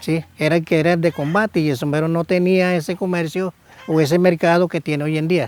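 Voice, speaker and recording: Dry, close sound with no echo carries a man's high-pitched voice and fairly even intonation. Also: fairly quick pace. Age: 60s. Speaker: hat weaver artisan. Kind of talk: interview.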